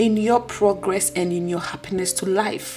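Noticeable background noise under speech at a fairly slow pace. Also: woman. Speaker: podcast host. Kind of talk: solo podcast talk, motivational.

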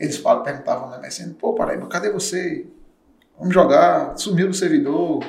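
A man's fairly slow speech in a Paraíba accent, with audible room echo. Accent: northeastern Brazilian (Paraíba). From Paraíba, Brazil (interior). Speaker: streamer. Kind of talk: casual interview.

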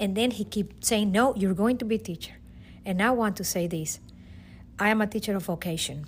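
A fairly quick woman's voice at medium pitch with a Venezuelan accent, vocal fry and ordinary pitch variation. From Venezuela, Caracas. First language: Spanish. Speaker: teacher. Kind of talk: testimony.

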